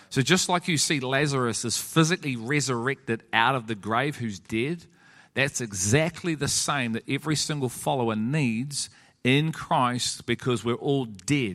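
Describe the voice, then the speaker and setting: A normal speaking voice with ordinary pitch variation at a moderate pace. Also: man, medium pitch for a man. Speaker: church teacher leading a group. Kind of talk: sermon-style teaching in a group discussion. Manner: earnest, preaching.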